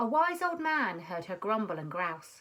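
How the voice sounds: Big pitch swings mark this fairly bright-toned voice, which moves at a fairly slow pace. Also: woman, medium pitch for a woman.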